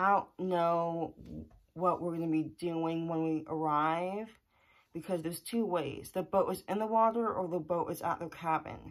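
Delivered at a moderate pace, the speech has fairly even intonation over a quiet background. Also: woman, fairly low pitch for a woman. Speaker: vlogger. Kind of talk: casual vlog chat. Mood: slightly anxious, thoughtful. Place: home room. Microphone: phone near.

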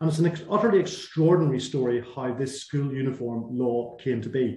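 A man's somewhat breathy voice with a dark, mellow tone, amid audible room echo and light background noise. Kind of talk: webinar presentation. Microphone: video call.

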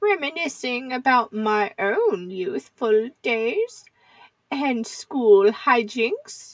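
Pitch swings very widely as the speech moves at a very slow pace. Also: woman, high pitch for a woman. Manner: sweet, gently teasing.

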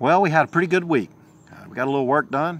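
A man speaks. The sound is dry, with no echo. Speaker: vlogger. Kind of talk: casual vlog chat. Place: garden. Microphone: phone near.

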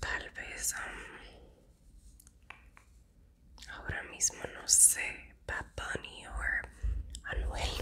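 Whispering at a very slow pace, a woman leaves long, frequent pauses. Her loudness swings widely. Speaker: ASMR creator. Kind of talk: ASMR whisper-style talk to camera. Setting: close-mic ASMR recording. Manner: soft, intimate, whispered. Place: home room.

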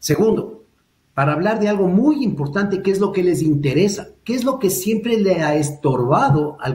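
A man speaks at a moderate pace with lively intonation. Audible room echo surrounds the voice. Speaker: lawyer and political commentator; lawyer, political commentator. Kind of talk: political discussion. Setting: video call. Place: home room. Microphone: webcam.

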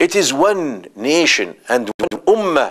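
The background is quiet. A man speaks with lively intonation. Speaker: religious teacher. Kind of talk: lecture. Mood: earnest, impassioned. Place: studio. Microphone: lapel.

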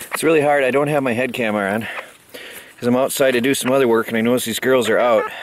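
A man speaks with fairly even intonation over light background noise, the sound dry with no echo. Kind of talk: casual vlog chat. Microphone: phone near.

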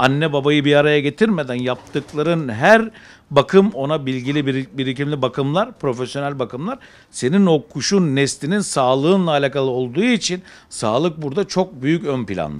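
With lively intonation, a man with a fairly high pitch speaks at a moderate pace. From Izmir, Turkey. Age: 40s. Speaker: pigeon breeder. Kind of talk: interview. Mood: enthusiastic, calm. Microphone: handheld.

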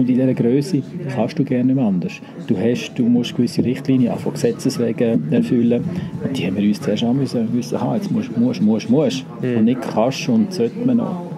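With a Swiss accent, a man speaks at a fairly quick pace over noticeable background noise. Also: medium pitch for a man, lively intonation. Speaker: hotel director. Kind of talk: interview answer.

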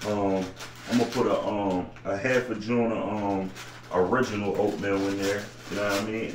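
Audible room echo and light background noise accompany a man speaking with a fairly low pitch. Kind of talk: casual cooking tutorial. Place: home room. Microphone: camera far.

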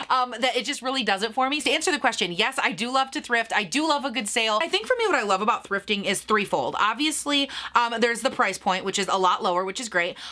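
A woman speaks at a very fast pace with hardly any pauses. Her voice is fairly high-pitched and animated, with lively intonation. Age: 30s. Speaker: beauty YouTuber. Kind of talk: casual Q&A vlog. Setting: home video recording. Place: home room.

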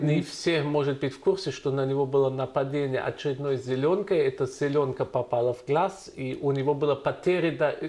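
Speaking with a German accent, a man talks at a moderate pace with hardly any pauses, his fairly high pitch held in fairly even intonation. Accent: German accent in Russian. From Germany. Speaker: journalist. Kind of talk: interview questions. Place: studio. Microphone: lapel.

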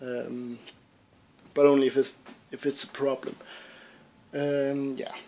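Monotone, flat intonation at a very slow pace, in a Danish accent. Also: man. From Denmark, Southern Jutland (Sønderborg); Denmark. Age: young. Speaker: gaming YouTuber. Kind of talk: casual Q&A vlog. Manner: hesitant, many fillers. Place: home room. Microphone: webcam.

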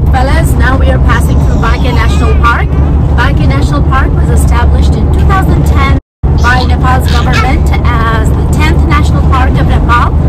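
Loud noise fills the background as a woman talks at a moderate pace. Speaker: travel vlogger. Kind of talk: casual vlog chat. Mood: cheerful, informative. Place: car. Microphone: phone near.

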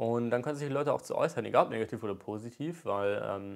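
Over a quiet background, a man talks at a fairly quick pace. His pitch variation is ordinary. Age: 20s. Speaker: YouTuber and aspiring rapper; YouTuber. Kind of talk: vlog monologue rant. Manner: casual, hesitant with many fillers. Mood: earnest, determined. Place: home room. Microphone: lapel.

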